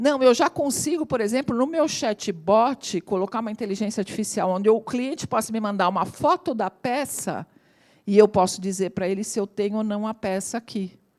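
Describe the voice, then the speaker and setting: Recorded very cleanly against a silent background, with a dry, close sound and no echo, a woman speaks in an ordinary speaking voice at a fairly high pitch, moderate pace and lively intonation. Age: 60s. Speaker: AI consultant and lecturer. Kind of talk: talk to audience.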